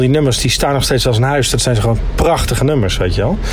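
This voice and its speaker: Talking at a very fast pace, a man with a medium-pitched voice is heard with audible room echo and noticeable background noise. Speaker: podcast co-host. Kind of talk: casual chat.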